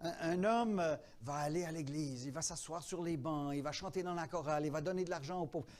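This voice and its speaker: Over audible room echo, a man talks at a fairly quick pace, his voice fairly high with ordinary pitch variation. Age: 70s. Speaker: pastor. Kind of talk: teaching workshop in church.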